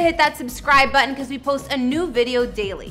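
With faint music in the background, a woman projects a raised voice at a fairly quick pace. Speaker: entertainment channel host. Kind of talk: presenter narration. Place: studio.

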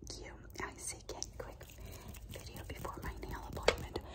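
A woman's whisper. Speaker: vlogger. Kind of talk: casual ASMR vlog chat. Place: home room. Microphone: phone near.

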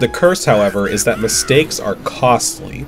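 A man talks with lively intonation. Music can be heard behind him. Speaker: game reviewer. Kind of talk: video game review narration.

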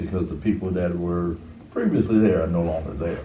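A man with an American accent speaks at a very deep, low pitch with fairly even intonation. Audible room echo and light background noise surround him. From Detroit, Michigan. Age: 60s. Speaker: architect; interviewee. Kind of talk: oral history interview.

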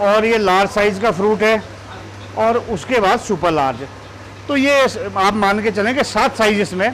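There is noticeable background noise behind this high-pitched man. He leaves long, frequent pauses. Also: ordinary pitch variation. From Himachal Pradesh, Shimla district. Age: 50s. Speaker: apple farmer. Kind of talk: interview on own farm.

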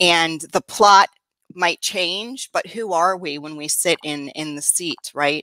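A woman's fairly low voice with a bright, sharp tone and lively intonation, dry with no echo, over a quiet background. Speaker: co-host, mindset coach. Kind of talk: casual chat. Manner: enthusiastic.

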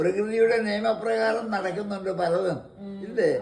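A man's high-pitched voice, fairly even in intonation, over noticeable background noise. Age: 80s+. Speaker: former radio presenter. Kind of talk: interview answer.

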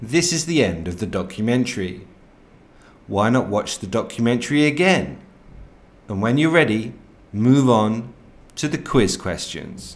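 Enthusiastic in tone, a man of medium pitch speaks with very wide pitch swings. He keeps a fairly slow pace with long, frequent pauses. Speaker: educational narrator. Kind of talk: nature documentary narration for young learners. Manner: clear, slow, simple wording, friendly; gently enthusiastic, storyteller tone.

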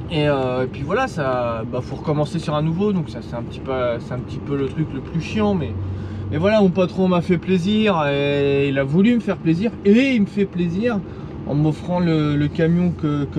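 Through noticeable background noise, a man talks with lively intonation. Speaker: truck driver vlogger. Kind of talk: casual vlog chat. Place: car. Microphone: camera far.

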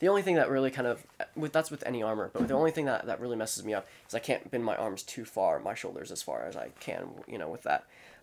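Words come from a man at a very fast pace. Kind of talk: casual show-and-tell explanation. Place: home room.

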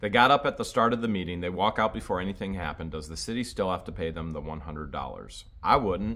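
With an American accent and a bright, sharp tone, the voice moves at a fairly quick pace with lively intonation and hardly any pauses. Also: man, very deep, low pitch for a man. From Ohio. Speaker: YouTuber. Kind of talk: casual chat answering viewer questions. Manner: animated. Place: home room. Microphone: phone near.

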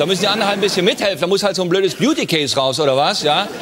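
A man talks at a very fast pace with a high pitch. Light background noise can be heard. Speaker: talk show host. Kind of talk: comedy monologue. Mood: ironic, playful. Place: studio.

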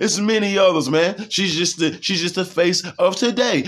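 A man's high-pitched voice, with ordinary pitch variation and a moderate pace. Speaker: street-style preacher and video channel host. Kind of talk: angry preacher rant, fiery sermon-style condemnation of sinners. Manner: accusatory, shouting down listeners in a ranting cadence.

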